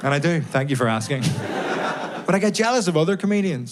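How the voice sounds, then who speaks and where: Amid noticeable background noise and audible room echo, the speech carries lively intonation. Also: man. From Northern Ireland, Belfast. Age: 20s. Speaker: stand-up comedian. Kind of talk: stand-up. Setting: stage with audience.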